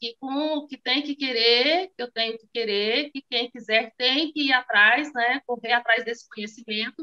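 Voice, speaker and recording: The background is quiet as a woman speaks at a fairly slow pace. Her high-pitched voice has a bright, sharp tone and fairly even intonation. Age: 40s. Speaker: small business owner, course student. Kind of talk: testimony. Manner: halting, many fillers. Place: home room. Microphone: phone near.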